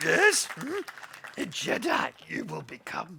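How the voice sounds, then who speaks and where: A man puts on a raspy character voice and speaks at a fairly slow pace. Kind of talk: inverted, backwards word order. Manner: wise, cryptic.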